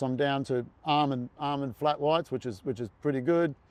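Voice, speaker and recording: With an Australian accent, a man speaks at a fairly high pitch using fairly even intonation. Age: 60s. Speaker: retired marathon runner. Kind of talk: podcast interview. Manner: halting, many fillers and repeats.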